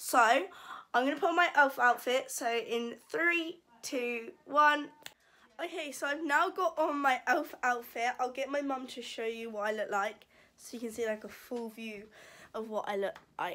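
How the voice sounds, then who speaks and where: Using a raised, projected voice, a woman talks at a fairly slow pace with lively intonation and big swings in loudness. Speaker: vlogger. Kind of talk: casual vlog chat. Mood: embarrassed, giggly. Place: home room. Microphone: phone near.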